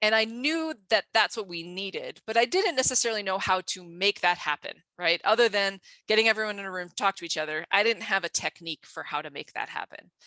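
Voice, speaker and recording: Speaking very fast, a woman uses a medium pitch, lively intonation and a bright, sharp tone. The sound is dry and close, with no echo, on a very clean recording with a silent background. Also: big swings in loudness. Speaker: geoscience education researcher. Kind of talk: conference talk.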